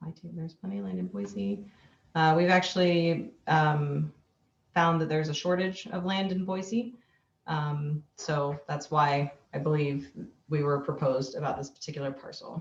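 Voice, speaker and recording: Words come at a moderate pace. There is a somewhat breathy quality to them. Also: woman, very deep, low pitch for a woman, lively intonation. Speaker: city parks official. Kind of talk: public meeting Q&A. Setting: video call. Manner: hesitant, many fillers.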